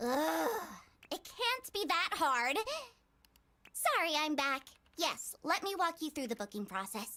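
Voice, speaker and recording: A woman's put-on character voice, high-pitched with very wide pitch swings, fairly slow, broken by long, frequent pauses. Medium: video game. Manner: curt, impatient.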